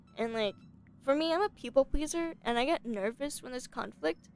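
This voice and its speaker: A woman's high voice with very wide pitch swings and a moderate pace, music in the background. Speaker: streamer. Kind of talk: casual chat. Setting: live stream.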